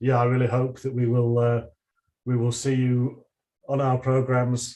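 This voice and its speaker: A man with a Northern English accent speaks at medium pitch in a dark, mellow tone. His intonation is monotone and flat. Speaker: university lecturer. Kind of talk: online presentation and Q&A. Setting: livestream video call. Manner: hesitant, with many repeated words.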